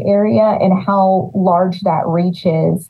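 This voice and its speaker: A woman speaks at a medium pitch in an American accent, her voice somewhat breathy. Her pitch rises and falls in an ordinary way. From California Central Valley, Los Banos. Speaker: city economic development director. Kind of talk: interview.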